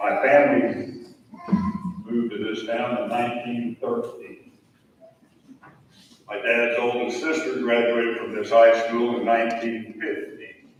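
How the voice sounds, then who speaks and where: A man's medium-pitched voice at a fairly slow pace, with long, frequent pauses, ordinary pitch variation and noticeable background noise. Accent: American. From US Midwest, southern Illinois. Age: 70s. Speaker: lawyer and hall of fame committee member. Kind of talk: ceremony speech.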